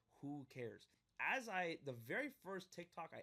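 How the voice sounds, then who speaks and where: A man talks loudly in an animated tone at a moderate pace. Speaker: podcast host. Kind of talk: casual interview.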